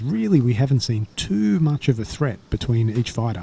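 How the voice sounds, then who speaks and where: A man talks at a fairly quick pace with an Australian accent. His pitch variation is ordinary. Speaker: sports commentator. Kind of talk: live commentary. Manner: casual, animated.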